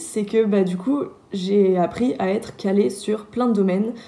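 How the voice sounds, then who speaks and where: Noticeable background noise accompanies a woman speaking slowly-ish, fairly high in pitch, with ordinary pitch variation. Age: 20s. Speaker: engineering student. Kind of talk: testimony. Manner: hesitant, many filler sounds.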